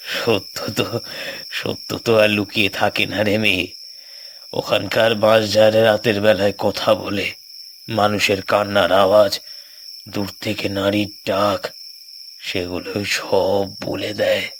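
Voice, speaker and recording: A cartoonish character voice talks at a fairly slow pace. Clear background noise sits behind it. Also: man, fairly low pitch for a man. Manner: solemn, ominous storytelling.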